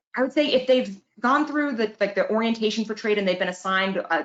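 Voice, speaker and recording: A woman is speaking. Her pace is very fast. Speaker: workforce funding advisor. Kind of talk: webinar presentation.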